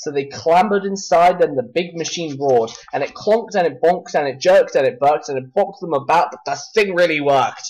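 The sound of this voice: With few pauses and a moderate pace, a man speaks at a fairly high pitch, using ordinary pitch variation and a slightly mellow tone.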